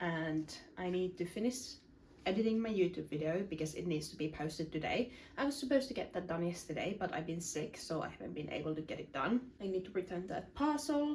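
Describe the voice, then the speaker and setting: This woman's somewhat breathy, medium-pitched voice moves at a fairly quick pace with very wide pitch swings. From Finland. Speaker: self-improvement content creator. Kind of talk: casual vlog talk to camera.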